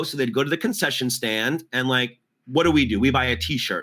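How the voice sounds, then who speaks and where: A man talks at a medium pitch in a bright, sharp tone. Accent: American. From New York City. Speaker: theater performer and producer. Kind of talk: interview answer.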